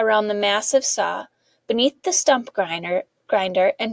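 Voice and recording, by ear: Someone is reading aloud in a natural voice while the background stays quiet.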